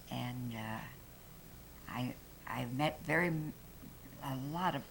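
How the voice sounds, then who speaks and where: A woman's very deep, low voice with an American accent and ordinary pitch variation. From Arizona, Prescott. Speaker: longtime local resident. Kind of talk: oral history storytelling. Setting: room with live audience.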